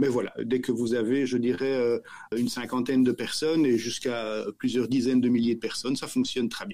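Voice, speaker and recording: A man with a Belgian accent talks at a fairly quick pace and a medium pitch, with fairly even intonation. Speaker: company director. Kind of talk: podcast interview. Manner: halting, repeats words.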